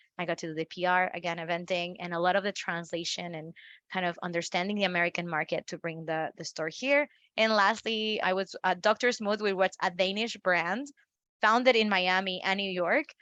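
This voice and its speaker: A woman with a Spanish accent speaks at a fairly quick pace in a bright, sharp tone. The sound is dry and close with no echo, over a quiet background. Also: medium pitch for a woman, ordinary pitch variation. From Mexico, northeast. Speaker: marketing expert. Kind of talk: interview.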